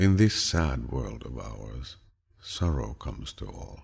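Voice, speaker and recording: A soothing tone with vocal fry and lively intonation. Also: man. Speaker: voice actor. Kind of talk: audiobook reading of quotes. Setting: studio. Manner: relaxing, soothing.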